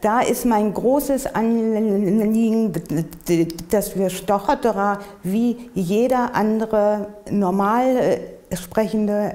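A woman speaks very slowly with very even loudness. Her intonation is fairly even. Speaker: person who stutters, interviewee. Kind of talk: interview answer. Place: home room.

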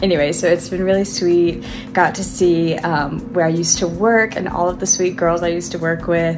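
Against clear music in the background, a woman speaks at a fairly quick pace with a fairly low pitch and fairly even intonation. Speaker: vlogger. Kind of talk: casual vlog chat. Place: home room. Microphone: phone near.

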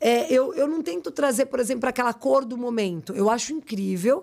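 A woman speaks over a quiet background. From Brazil, São Bernardo (São Paulo area); São Paulo, Brazil. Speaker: fashion brand owner and designer; podcast guest. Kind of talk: interview, casual chat. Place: studio. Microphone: studio mic.

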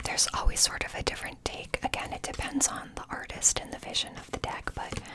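The speaker is a woman. She whispers at a moderate pace. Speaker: tarot content creator. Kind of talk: casual vlog chat. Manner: soft, hushed ASMR talking. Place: home room. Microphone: phone near.

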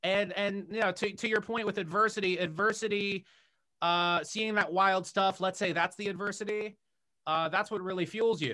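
A man speaks at a moderate pace in a raised, projected voice, pitched high for a man. His tone is bright and sharp, his intonation fairly even, and the background is quiet. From US, Washington D.C. area. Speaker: director and YouTuber; podcast guest. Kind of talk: casual interview conversation. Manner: halting, many fillers and repetitions. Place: home room. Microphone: video call.

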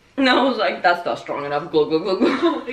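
A woman talks at a fairly quick pace. Audible echo fills the room. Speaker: storyteller. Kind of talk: casual vlog chat. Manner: tipsy, loose chatty voice. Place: home room. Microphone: camera far.

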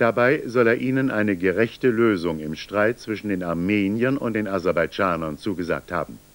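This man's voice sits fairly low, and he keeps to a middling speed. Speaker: news anchor. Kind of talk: news reading.

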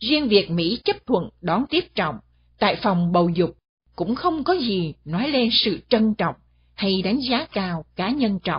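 A woman's somewhat breathy, medium-pitched voice at a fairly slow pace, with very wide pitch swings. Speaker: radio commentator. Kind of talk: scripted commentary. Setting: studio.

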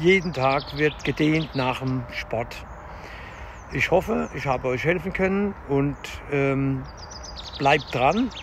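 A man speaks at a very slow pace with ordinary pitch variation. The sound is dry with no echo, and background noise is noticeable. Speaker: fitness vlogger. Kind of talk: casual vlog chat. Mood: calm, encouraging. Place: forest. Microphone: phone near.

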